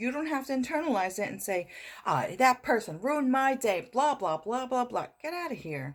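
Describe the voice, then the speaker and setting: The voice shows vocal fry along with very wide pitch swings. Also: woman. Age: 60s. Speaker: motivational vlogger. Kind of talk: motivational talk to camera. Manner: repetitive, conversational.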